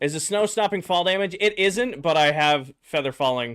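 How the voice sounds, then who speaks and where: A man with very wide pitch swings. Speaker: gaming streamer. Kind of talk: live gameplay stream chat.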